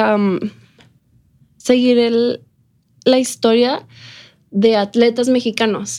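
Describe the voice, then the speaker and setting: Speaking at a very slow pace with long, frequent pauses, a woman uses a high pitch. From Ciudad Juárez, Mexico. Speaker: entrepreneur. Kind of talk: interview.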